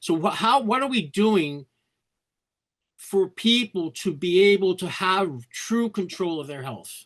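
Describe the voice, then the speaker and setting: A man with a New York accent, high-pitched, speaking at a fairly slow pace with lively intonation over a quiet background. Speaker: meeting participant. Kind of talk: audience question. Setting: video call.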